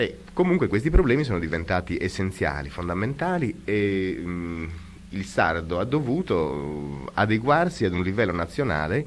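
Very deep and low, a man's voice moves at a moderate pace with very wide pitch swings over light background noise. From Sardinia. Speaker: art history professor. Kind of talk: radio interview. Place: studio. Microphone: old recording.

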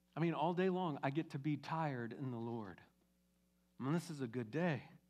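Here a man talks at a fairly quick pace. His pitch is fairly high, with ordinary variation. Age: 50s. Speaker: pastor. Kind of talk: sermon. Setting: church. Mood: warm, encouraging. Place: church. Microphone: headset.

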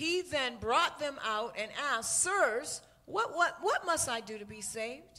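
At a fairly slow pace, a woman uses a raised, projected voice that is high in pitch, with very wide pitch swings and big swings in loudness. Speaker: church minister reading scripture. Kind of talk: reading aloud. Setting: church with microphone. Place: church.

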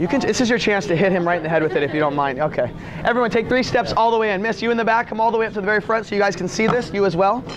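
Over noticeable background noise, a man talks at a very fast pace in a high pitch with ordinary pitch variation. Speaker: product demonstrator. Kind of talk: live in-store product demonstration sales pitch to a crowd. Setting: store floor with live audience. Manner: rapid-fire patter, quick jokes and crowd-work questions; showman-like, hyping each cut with commands to watch. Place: shop.

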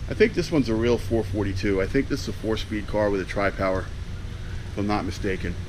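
Over noticeable background noise, a man talks at a fairly low pitch. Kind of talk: casual vlog chat. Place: workshop. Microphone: phone near.

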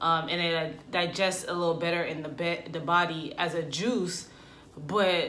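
Set against light background noise, a woman speaks at a fairly low pitch in an ordinary speaking voice. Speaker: vlogger. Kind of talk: casual vlog chat. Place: home room. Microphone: camera far.

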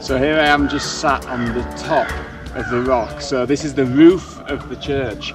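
Clear music plays behind a man who speaks at a moderate pace with fairly even intonation. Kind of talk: casual vlog chat. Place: open country.

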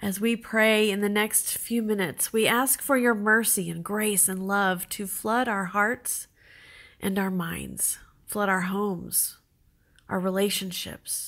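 In a normal speaking voice, a woman talks with a medium pitch and fairly even intonation. Her delivery is fairly slow. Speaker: church prayer leader. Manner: earnest, solemn, supplicating; measured, reverent, with pauses between petitions.

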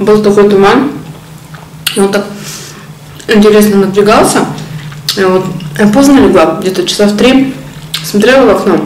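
A woman's voice with very even loudness, ordinary pitch variation and long, frequent pauses, over light background noise and audible room echo. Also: moderate pace. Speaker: mukbang vlogger. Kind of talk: casual vlog chat while eating. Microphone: phone near.

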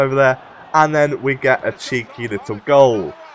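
This man's voice sits fairly high. He talks with a British accent. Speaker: gaming YouTuber. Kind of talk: gameplay commentary. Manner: casual, upbeat.

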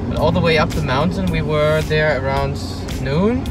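Music in the background behind a man at a moderate pace, in a dry sound with no echo. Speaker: travel vlogger. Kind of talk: casual vlog chat. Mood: relaxed, cheerful. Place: car.

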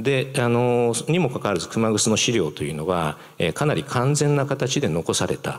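A man at a moderate pace with hardly any pauses and very wide pitch swings, against a quiet background. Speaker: museum director and professor. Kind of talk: public lecture. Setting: stage with audience. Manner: halting; formal. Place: hall. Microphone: handheld.

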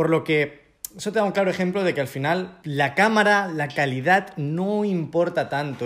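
A man is talking with lively intonation. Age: 20s. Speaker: travel YouTuber. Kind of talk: interview, casual chat. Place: home room. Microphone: handheld.

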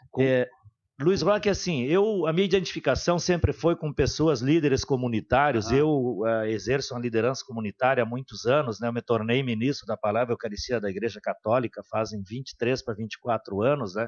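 Over a quiet background, a man with a southern Brazilian accent speaks at a moderate pace in a medium pitch, with lively intonation and hardly any pauses. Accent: southern Brazilian (gaúcho) Portuguese. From Santo Ângelo area, Rio Grande do Sul, Brazil; Rio Grande do Sul, Brazil. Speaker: city councillor. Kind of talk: radio interview. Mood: calm, warm, reflective. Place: studio. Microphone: studio mic.

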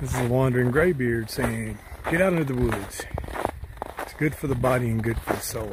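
A man at a fairly quick pace with long, frequent pauses and ordinary pitch variation, in a dry sound with no echo and noticeable background noise. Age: old. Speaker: hiking vlogger. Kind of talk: outdoor vlog narration. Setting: outdoors on a snowy mountain trail. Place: forest. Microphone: phone near.

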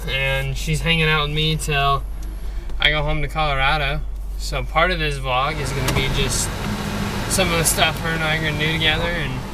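Fairly quick speech with a dry sound with no echo, over loud background noise. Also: man. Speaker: vlogger. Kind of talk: casual vlog chat. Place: car. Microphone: phone near.

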